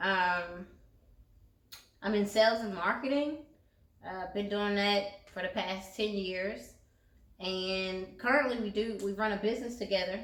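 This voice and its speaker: A woman with a Southern US accent speaks with long, frequent pauses. Audible room echo surrounds her voice. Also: medium pitch for a woman, ordinary pitch variation, fairly slow pace. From US South, eastern North Carolina. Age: 30s. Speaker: channel co-host. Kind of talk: casual chat.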